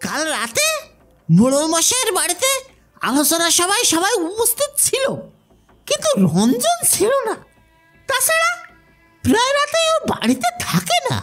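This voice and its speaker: Faint music plays behind a put-on character voice moving at a fairly slow pace. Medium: read story. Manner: urgent, emotional.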